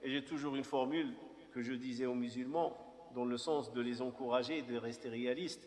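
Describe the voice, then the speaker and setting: Against noticeable background noise, a man speaks at a moderate pace with a fairly high pitch and ordinary pitch variation. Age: 50s. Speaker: imam. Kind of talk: personal testimony talk. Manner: halting.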